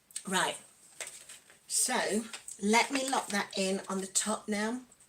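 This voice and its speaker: A woman with an East Midlands accent, fairly high in pitch, with fairly even intonation and a very slow pace, against noticeable background noise. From East Midlands, England. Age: 40s. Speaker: lifestyle vlogger. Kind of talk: casual livestream chat while doing makeup.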